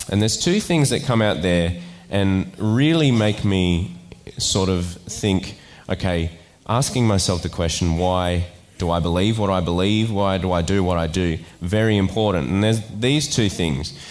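A man talks at a moderate pace in a very deep, low voice. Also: ordinary pitch variation, very even loudness. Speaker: preacher. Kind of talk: sermon. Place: church. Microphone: headset.

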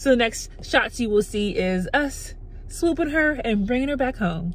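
The pitch swings very widely. The sound is dry, with no echo. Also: woman. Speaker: parent vlogger. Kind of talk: casual vlog chat. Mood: happy, relieved.

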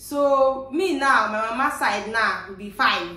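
The speaker uses ordinary pitch variation with a Nigerian accent, and audible room echo surrounds the voice. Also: woman. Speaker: vlogger. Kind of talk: Nigerian Pidgin English. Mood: relaxed, cheerful. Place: home room.

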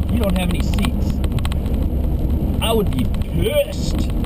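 Loud background noise behind a male speaker. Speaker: vlogger. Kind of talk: casual vlog chat. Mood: sarcastic, annoyed ranting. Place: car. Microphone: phone near.

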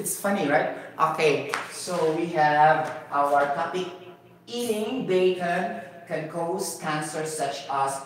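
Speaking at a very slow pace with a Cebuano Filipino accent, a man with a fairly high pitch and ordinary pitch variation is heard amid light background noise and strong room echo. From Cebu, Philippines. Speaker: YouTube science and health educator. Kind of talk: improvised lecture. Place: home room.

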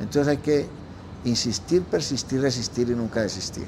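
A man talks at a moderate pace in a medium pitch. His intonation is fairly even, and noticeable background noise can be heard. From Colombia, Antioquia. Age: 70s. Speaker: restaurant founder and owner. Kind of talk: interview. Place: home room. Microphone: lapel.

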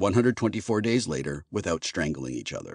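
A man speaks at a moderate pace with very wide pitch swings. Vocal fry runs through his voice. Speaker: audiobook narrator. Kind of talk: audiobook narration, first-person sci-fi. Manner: sarcastic, wry, conversational.

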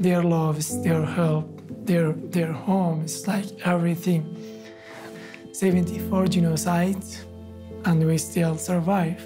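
Noticeable background noise surrounds a man with a fairly high pitch. He speaks fairly slowly with fairly even intonation and long, frequent pauses. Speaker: genocide survivor, refugee. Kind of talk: documentary testimony. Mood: earnest, hopeful, sometimes smiling. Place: studio.

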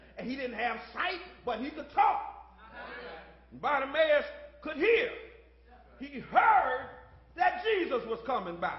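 An animated voice with very wide pitch swings and big swings in loudness, at a fairly slow pace. Long, frequent pauses break it up, with audible room echo and light background noise. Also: man, extremely high pitch for a man. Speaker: pastor. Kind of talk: sermon. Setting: church. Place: church. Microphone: podium.

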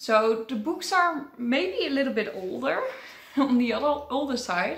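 A woman with a high-pitched voice speaks at a fairly slow pace with audible room echo. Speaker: book vlogger. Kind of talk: casual vlog chat. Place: home room.

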